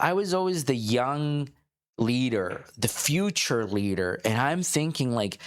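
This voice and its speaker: Fairly slow male speech with very wide pitch swings. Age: 40s. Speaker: entrepreneur. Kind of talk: casual podcast conversation.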